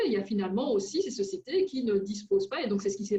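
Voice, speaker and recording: A woman's voice at a medium pitch. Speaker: researcher and seminar speaker. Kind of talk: seminar Q&A answer. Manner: hesitant, many fillers.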